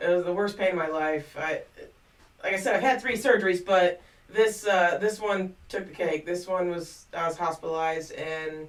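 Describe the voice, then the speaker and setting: A woman with a medium pitch and ordinary pitch variation keeps a moderate pace over noticeable background noise. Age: 40s. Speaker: vlogger. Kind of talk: personal vlog monologue. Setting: home studio. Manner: hesitant, many fillers.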